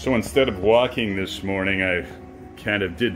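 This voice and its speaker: With faint music in the background, a man speaks at a moderate pace in a fairly low pitch. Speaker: diet vlogger. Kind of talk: casual vlog chat. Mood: puzzled, lightly amused. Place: home room. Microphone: phone near.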